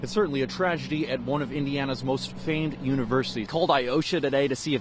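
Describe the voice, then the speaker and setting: The speaker uses vocal fry at a very fast pace. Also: man. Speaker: TV news reporter. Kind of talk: broadcast news reporter narration and stand-ups. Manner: energetic.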